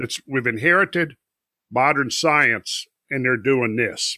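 In an American accent, a man speaks at medium pitch with ordinary pitch variation and a bright, sharp tone at a moderate pace. The recording is very clean and dry, close with no echo, against a silent background. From rural Minnesota, US Upper Midwest. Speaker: independent researcher and geological explorer. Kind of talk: podcast interview.

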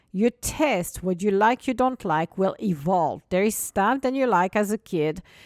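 In a dry, close sound with no echo, someone with a non-native accent speaks at a moderate pace in an animated tone with lively intonation. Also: woman. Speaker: podcast host and business coach. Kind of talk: solo motivational podcast talk. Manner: animated, laughs often.

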